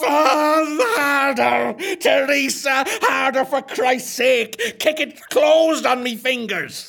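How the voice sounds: The voice is high-pitched and the pace very slow.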